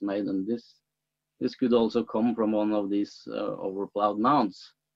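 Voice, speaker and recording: Against a quiet background, a man with a Norwegian accent speaks at a fairly low pitch. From Norway. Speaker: archaeologist. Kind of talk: interview. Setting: video call.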